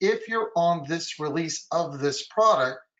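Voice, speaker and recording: With ordinary pitch variation, a man talks in a fairly high register. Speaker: software compliance consultant. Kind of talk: webinar presentation. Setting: online webinar. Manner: fast.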